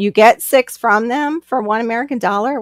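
A woman speaks at a moderate pace in an animated tone with lively intonation. The background is quiet and the sound dry, with no echo. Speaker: livestream host. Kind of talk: casual chat. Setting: live stream video call. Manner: rambling, animated. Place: home room. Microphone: video call.

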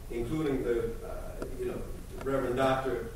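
Strong room echo and light background noise surround speech delivered at a moderate pace. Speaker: state official. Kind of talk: public comment. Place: hall.

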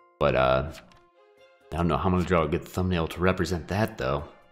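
With music in the background, a man with a very deep, low voice speaks very fast, using ordinary pitch variation. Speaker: gaming YouTuber. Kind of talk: gameplay commentary. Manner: casual.

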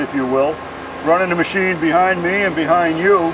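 High-pitched male voice with fairly even intonation amid noticeable background noise. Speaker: factory guide. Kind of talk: tour explanation. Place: factory.

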